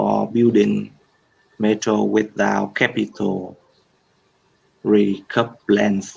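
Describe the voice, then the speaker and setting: A man speaks with a Vietnamese accent. His pace is very slow. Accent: Vietnamese English, fairly developed. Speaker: English learner. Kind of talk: reading aloud. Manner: halting.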